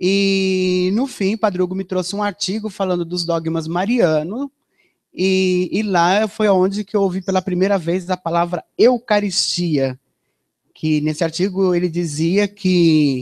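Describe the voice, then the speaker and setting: The recording has a dry, close sound with no echo. A man speaks at a high pitch and a fairly slow pace, with ordinary pitch variation. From Brazil, São Paulo. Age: 40s. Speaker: religious giving testimony. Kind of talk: testimony.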